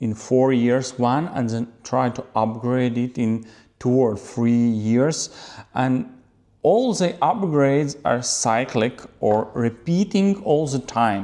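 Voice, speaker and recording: Speaking at a very slow pace with a non-native accent, a man uses a medium pitch with ordinary pitch variation and a dark, mellow tone. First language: not English. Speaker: photographer. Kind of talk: camera talk to viewers. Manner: halting.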